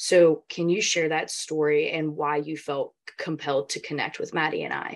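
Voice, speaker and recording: A woman with a Southern US accent, at a moderate pace. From US South. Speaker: podcast host. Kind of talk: casual chat.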